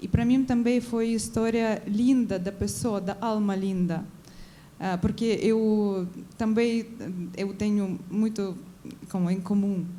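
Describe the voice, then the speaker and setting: A woman with a Ukrainian accent speaks very slowly in a dark, mellow tone at medium pitch. Her intonation is fairly even, broken by long, frequent pauses. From Ukraine. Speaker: audience member. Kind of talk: audience question at a film debate. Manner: halting, with false starts.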